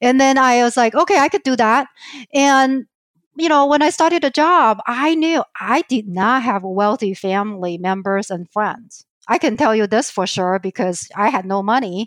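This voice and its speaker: The speaker has a Chinese accent. The pitch swings very widely. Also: woman, high pitch for a woman, moderate pace, dry, close sound with no echo. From southern China. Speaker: financial advisor. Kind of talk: interview.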